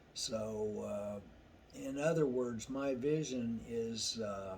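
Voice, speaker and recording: With audible room echo, a man talks at medium pitch and ordinary pitch variation. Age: 60s. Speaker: truck driver sharing personal experience. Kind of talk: casual monologue vlog. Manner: halting, many fillers and restarts.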